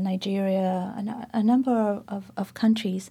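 A woman's medium-pitched, somewhat breathy voice with a dark, mellow tone, at a fairly slow pace, in a very clean recording with a silent background. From South Africa, Port Elizabeth. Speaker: poet and professor. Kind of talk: public conversation. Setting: stage with audience.

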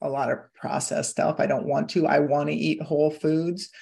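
A woman speaks at a moderate pace with a Midwestern American accent. Her voice has vocal fry. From US Midwest, Iowa. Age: 50s. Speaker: hypnotherapist and weight-loss coach. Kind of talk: casual interview chat.

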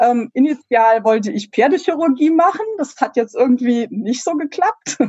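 A woman talks at a moderate pace in a high pitch. Her voice moves through very wide pitch swings. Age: 40s. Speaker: veterinary pathologist and researcher. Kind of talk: interview. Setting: video call. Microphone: poor internet audio quality.

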